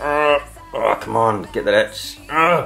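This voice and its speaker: Music plays in the background behind a man speaking. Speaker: father of the uploader. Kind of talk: comedic parody voiceover of a makeup tutorial.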